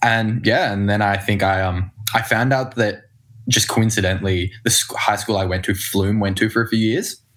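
Speaking with an Australian accent, a man talks at a moderate pace in a fairly low pitch, with fairly even intonation and very even loudness. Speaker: singer-songwriter and producer. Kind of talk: casual chat.

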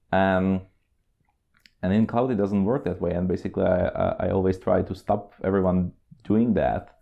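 A man with a Czech accent speaks with monotone, flat intonation and very even loudness. His speech has long, frequent pauses. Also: fairly low pitch for a man, moderate pace. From Czech Republic. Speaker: cloud consultant. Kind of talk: casual interview. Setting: on location at a company office.

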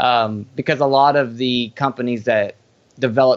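A man speaks in an unremarkable speaking voice at a medium pitch, with fairly even intonation. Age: 30s. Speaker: farmer and herbal product formulator. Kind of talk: casual interview chat.

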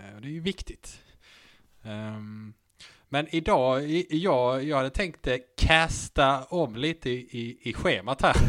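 Very slowly and with long, frequent pauses, a man talks with ordinary pitch variation. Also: medium pitch for a man. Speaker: podcast host. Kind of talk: casual chat.

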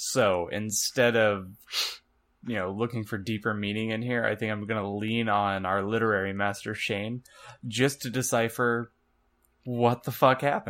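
Here is an ordinary speaking voice, a man's at a fairly low pitch. He talks at a moderate pace with fairly even intonation. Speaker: podcast co-host. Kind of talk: casual chat.

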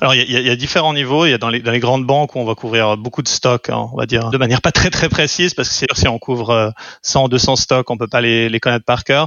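With fairly even intonation, a man speaks very quickly. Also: medium pitch for a man. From French-speaking Switzerland (Lausanne). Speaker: venture capital investor. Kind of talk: interview. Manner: halting, with repeated words.

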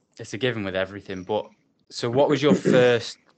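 A man speaks with an English accent. His pitch is fairly low and varies in an ordinary way. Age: 20s. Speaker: podcast host. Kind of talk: casual interview.

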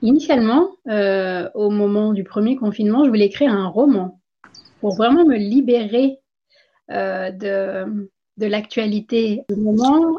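Fairly high in pitch with ordinary variation, the woman speaks in a plain, everyday voice. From India. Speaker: former physician, author and wellness coach. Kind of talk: interview.

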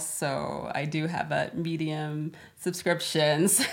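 A very deep, low-pitched woman's voice in an American accent. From US, Florida. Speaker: data analyst. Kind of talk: interview.

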